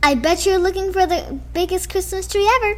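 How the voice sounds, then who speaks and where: A woman's put-on character voice at a fairly quick pace. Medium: read story.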